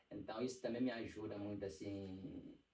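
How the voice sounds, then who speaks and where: With an Angolan accent, a man speaks at a moderate pace and a fairly low pitch, his dark, mellow tone somewhat breathy and his intonation fairly even. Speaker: church singer and songwriter. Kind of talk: casual podcast interview.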